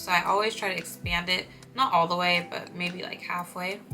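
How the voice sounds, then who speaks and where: Fairly low-pitched speech from a woman at moderate speed, noticeable background noise behind it. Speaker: beauty and lifestyle youtuber. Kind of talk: tutorial. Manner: casual, chatty.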